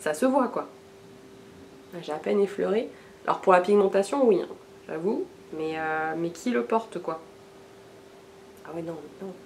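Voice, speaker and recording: A woman at a medium pitch speaks with lively intonation and big swings in loudness. Her pace is fairly slow, with long, frequent pauses over noticeable background noise. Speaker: beauty vlogger. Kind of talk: casual haul video talk. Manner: hesitant, many fillers.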